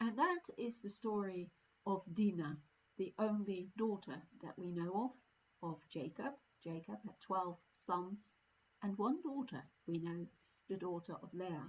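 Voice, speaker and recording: A somewhat breathy woman, fairly slow, with long, frequent pauses. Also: medium pitch for a woman, ordinary pitch variation. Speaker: service leader. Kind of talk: sermon. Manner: halting.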